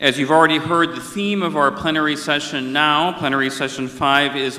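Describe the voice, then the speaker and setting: A man with an American accent has an unremarkable speaking voice. His pitch is fairly high, with ordinary pitch variation. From India. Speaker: conference moderator. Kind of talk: formal opening remarks. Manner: formal.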